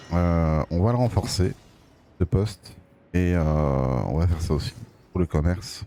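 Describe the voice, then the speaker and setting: With a Belgian accent, a man speaks fairly slowly in a very deep, low voice with a dark, mellow tone, ordinary pitch variation, very even loudness, and long, frequent pauses. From Belgium. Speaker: gaming streamer. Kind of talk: gameplay commentary. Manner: casual, hesitant with many fillers. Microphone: new microphone.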